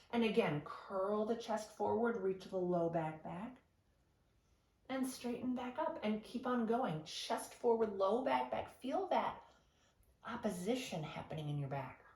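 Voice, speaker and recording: Through noticeable background noise and audible room echo, a woman with a fairly high pitch speaks at a fairly slow pace with very wide pitch swings. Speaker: Pilates instructor. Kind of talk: exercise class instruction. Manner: encouraging, guiding.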